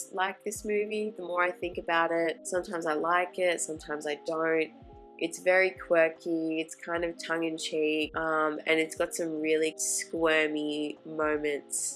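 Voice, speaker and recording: Music plays in the background as someone speaks at a fairly slow pace. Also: woman, fairly low pitch for a woman. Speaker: film vlogger. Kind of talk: vlog voice-over narration. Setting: home recording on old equipment.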